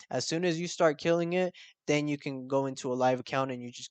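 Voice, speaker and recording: A man's animated tone at a fairly quick pace, set against a quiet background. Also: dry, close sound with no echo. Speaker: forex trading youtuber. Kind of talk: tutorial. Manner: fast.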